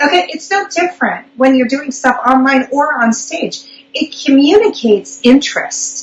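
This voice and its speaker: Noticeable background noise sits behind a woman speaking with hardly any pauses. Her pitch is high, with ordinary pitch variation. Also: moderate pace. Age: 40s. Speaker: public speaking coach. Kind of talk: live online interview.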